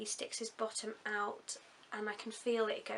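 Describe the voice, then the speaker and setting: Speaking in an English accent, a woman keeps to a medium pitch. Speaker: vlogger. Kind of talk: video diary.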